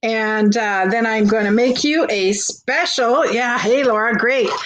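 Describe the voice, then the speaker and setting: With a Canadian accent, a woman speaks at a very slow pace and ordinary pitch variation, with audible room echo around her. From Canada. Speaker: online vintage seller. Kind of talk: live-stream sale with chat interaction. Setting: live stream. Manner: animated.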